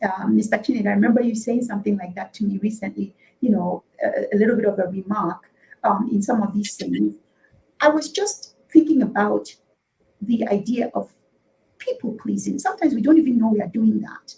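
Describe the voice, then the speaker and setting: A woman in a Nigerian accent at a fairly quick pace. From Nigeria, Igbo (Afikpo). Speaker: politician and talk show guest. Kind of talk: talk show interview. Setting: live online talk show. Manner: hesitant, many fillers and repetitions.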